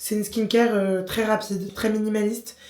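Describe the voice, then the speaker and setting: A woman's fairly high, flat monotone over noticeable background noise. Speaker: lifestyle vlogger. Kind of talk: casual vlog to camera. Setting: hotel room. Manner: many filler hesitations (euh).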